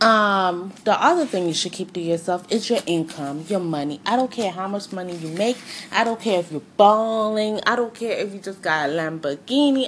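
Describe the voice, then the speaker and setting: A woman's medium-pitched voice with lively intonation and hardly any pauses, over noticeable background noise. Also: moderate pace. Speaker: podcast host. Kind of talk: casual solo podcast monologue. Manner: casual, chatty.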